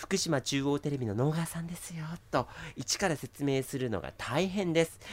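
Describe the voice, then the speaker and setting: This man's voice sits fairly high, with an animated tone. His intonation is lively. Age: 20s. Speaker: TV announcer. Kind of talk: casual chat.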